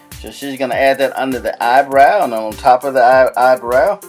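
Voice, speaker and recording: Moderately paced male speech, music playing behind it. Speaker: husband doing voiceover for wife's makeup video. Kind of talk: casual humorous commentary narration over a makeup video. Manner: playful, joking, chatty.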